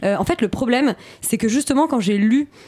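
The speaker talks at a fairly quick pace with lively intonation. Noticeable background noise runs underneath. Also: woman. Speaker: radio host. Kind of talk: radio film discussion.

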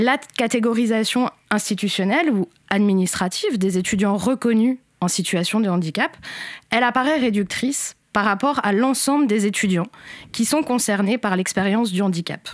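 A woman has an ordinary speaking voice, fairly high in pitch with ordinary pitch variation. She keeps a moderate pace and very even loudness on a very clean recording with a silent background. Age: 30s. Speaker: education researcher. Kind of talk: interview explanation. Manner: formal.

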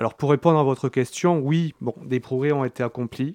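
The background is quiet, and the sound is dry and close with no echo. A man talks at a moderate pace with ordinary pitch variation. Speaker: festival organizer. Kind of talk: interview. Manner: halting.

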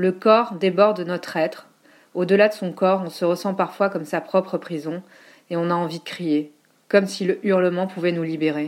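Speaking at a fairly quick pace, a woman uses a plain, everyday voice with fairly even intonation. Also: very clean recording, silent background. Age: 40s. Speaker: teacher and writing collective founder. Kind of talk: reading aloud.

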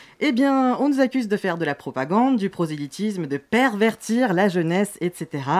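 A woman at medium pitch, very wide pitch swings, a moderate pace with hardly any pauses, and a dry, close sound with no echo. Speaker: radio columnist. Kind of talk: scripted column. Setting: studio.

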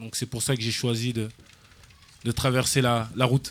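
At a moderate pace, a man talks in a medium pitch. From France, Paris and Seine-Saint-Denis suburbs. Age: 20s. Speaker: football coach. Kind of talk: radio interview. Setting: live outdoor event broadcast.

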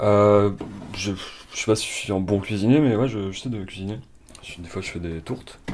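A man speaks at a moderate pace and fairly low pitch, with ordinary pitch variation and long, frequent pauses. His loudness swings widely against noticeable background noise. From France. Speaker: home cook. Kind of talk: casual chat. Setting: kitchen. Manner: halting.

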